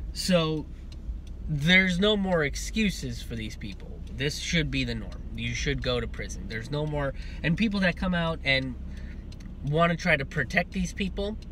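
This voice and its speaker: A man at a moderate pace, with light background noise and a dry sound with no echo. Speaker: comedian commentator. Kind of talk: political commentary vlog. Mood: indignant, firm. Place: car. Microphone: earbuds.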